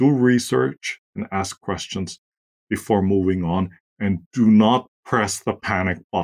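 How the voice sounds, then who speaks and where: Recorded very cleanly against a silent background, a man speaks with a German accent and ordinary pitch variation. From Austria. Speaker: marketing agency co-founder. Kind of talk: interview.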